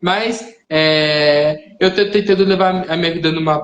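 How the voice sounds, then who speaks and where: Speaking with ordinary pitch variation, a man uses a fairly high register. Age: young. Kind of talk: interview on live stream. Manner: soft-spoken; halting.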